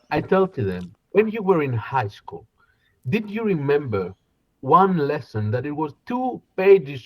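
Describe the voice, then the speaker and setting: A man with a Greek accent speaks at a moderate pace, somewhat breathy. His pitch is fairly high, with very wide swings. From Greece, Koroni and Kalamata. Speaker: business consultant and singer. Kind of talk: interview conversation. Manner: halting.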